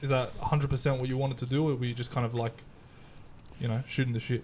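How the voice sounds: Talking at a fast pace, a man shows little pitch movement and a slightly mellow tone. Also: medium pitch for a man.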